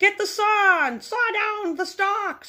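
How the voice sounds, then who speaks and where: Fairly slow delivery in a put-on character voice. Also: woman, extremely high pitch for a woman. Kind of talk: playful read-aloud for young children. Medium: read story.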